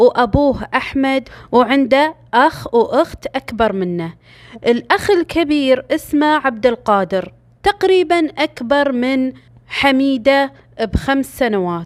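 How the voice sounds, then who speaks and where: A woman with a Gulf accent speaks at a very slow pace in a high voice, with very wide pitch swings. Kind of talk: true crime story narration. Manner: casual storytelling.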